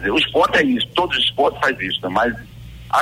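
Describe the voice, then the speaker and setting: Here a man is speaking. Music plays in the background. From Pernambuco, Brazil (Bezerros). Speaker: retired Olympic runner and race organizer. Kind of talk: live radio interview. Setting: live radio broadcast.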